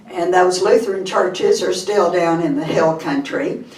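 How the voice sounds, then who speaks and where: A woman with a Texas accent talks in very wide pitch swings, with audible room echo and noticeable background noise. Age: 80s+. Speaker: public speaker and storyteller. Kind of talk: speech to a live audience. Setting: stage with audience. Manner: animated.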